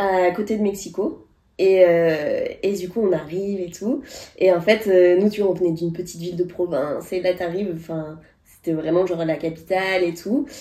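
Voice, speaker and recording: Her tone dark and mellow, a woman talks at a moderate pace and medium pitch with fairly even intonation. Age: 30s. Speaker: podcast co-host. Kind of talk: casual chat.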